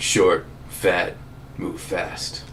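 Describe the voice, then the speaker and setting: A man's put-on character voice at an extremely high pitch, with clear background noise. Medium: actual play. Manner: wisecracking, boastful.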